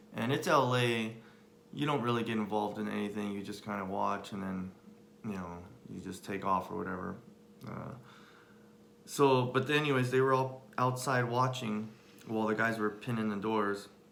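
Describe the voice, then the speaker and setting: Through noticeable background noise and audible room echo, a man with a fairly low pitch and an American accent speaks at a moderate pace with ordinary pitch variation and long, frequent pauses. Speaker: husband sharing life story. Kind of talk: personal testimony. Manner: halting, many fillers.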